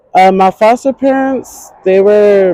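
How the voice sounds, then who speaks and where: A woman with an American accent talks at a fairly slow pace. Her tone is dark and mellow, with ordinary pitch variation. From North Carolina. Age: 20s. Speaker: homeless interviewee. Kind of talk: street interview. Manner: halting.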